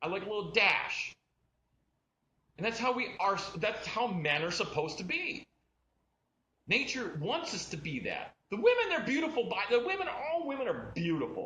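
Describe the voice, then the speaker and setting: A man's raised, projected voice at an extremely high pitch, with very wide pitch swings, a moderate pace and long, frequent pauses. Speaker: fashion designer. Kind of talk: live stream product talk. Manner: animated, informal.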